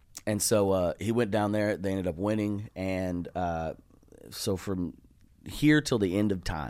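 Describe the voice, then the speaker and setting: Speaking with a Texas accent, a man talks at a fairly slow pace with ordinary pitch variation. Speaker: comedian. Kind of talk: casual chat. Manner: animated.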